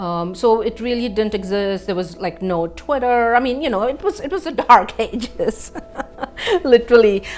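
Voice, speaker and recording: A woman's fairly high voice with a non-native accent, lively intonation and a moderate pace, noticeable background noise behind it. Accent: foreign. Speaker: professor. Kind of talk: testimony. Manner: hesitant, many fillers.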